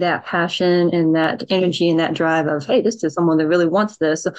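Using an ordinary speaking voice, a woman talks at a moderate pace with a fairly low pitch. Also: quiet background. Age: 20s. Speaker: government intern. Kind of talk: webinar panel discussion. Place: home room. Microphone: video call.

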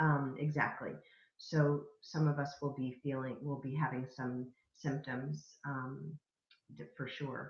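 Very deep and low, a woman's somewhat breathy voice moves at a very slow pace with a calm, warm tone and monotone, flat intonation. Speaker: spiritual wellness vlogger. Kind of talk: weekly spiritual message monologue, card reading. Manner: calm, soft-spoken, warm, hesitant with fillers.

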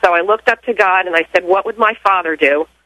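A woman speaks at medium pitch and a moderate pace with an American accent, in an ordinary speaking voice. The sound is dry and close with no echo. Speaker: caller. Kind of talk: personal testimony. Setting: phone call.

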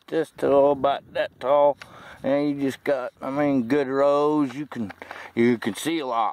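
A man at a moderate pace, in a dry sound with no echo. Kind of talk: casual vlog chat. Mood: pleased, relaxed. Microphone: phone near.

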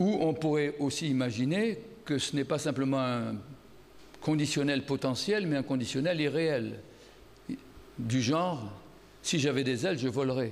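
Leaving long, frequent pauses, a man speaks fairly slowly at a fairly high pitch with ordinary pitch variation, and audible room echo is present. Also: very even loudness. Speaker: philosopher giving a conference talk. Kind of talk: lecture. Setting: stage with audience. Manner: speaking loudly.

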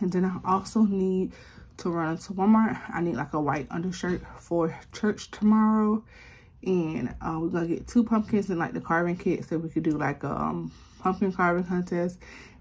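Somewhat breathy, this voice keeps to a moderate tempo while its pitch varies in an ordinary way. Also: woman, fairly low pitch for a woman. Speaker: vlogger mom. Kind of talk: casual vlog chat. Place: home room. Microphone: phone near.

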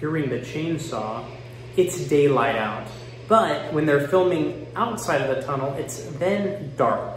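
A man speaks at a fairly slow pace. Faint music plays behind him, with audible room echo. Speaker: commentary vlogger. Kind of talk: commentary. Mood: mocking, animated. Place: bathroom. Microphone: phone near.

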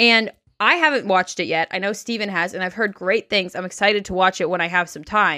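The woman's tone is bright and sharp, with ordinary pitch variation. She talks at a fairly quick pace against a quiet background. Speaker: podcast co-host. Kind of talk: casual podcast chat. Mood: candid, a bit weary. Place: home room. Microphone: studio mic.

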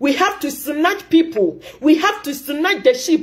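A woman's extremely high-pitched voice at a very slow pace, with very wide pitch swings and a quiet background. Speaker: commentator. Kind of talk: impassioned commentary vlog. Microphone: phone near.

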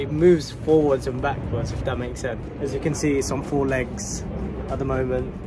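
Someone talks at a moderate pace while clear music plays in the background. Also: man. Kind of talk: casual vlog chat. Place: street. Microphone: phone near.

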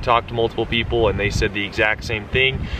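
Light background noise and a dry, echo-free sound from a male speaker. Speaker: car vlogger. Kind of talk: casual vlog chat. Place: street. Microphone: camera far.

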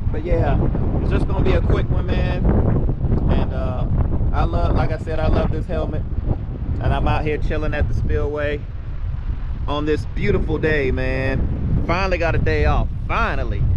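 Long, frequent pauses break up the speech, which has a dry sound with no echo and loud background noise. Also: moderate pace. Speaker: motovlogger. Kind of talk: casual vlog chat. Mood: relaxed, upbeat. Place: waterside. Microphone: phone near.

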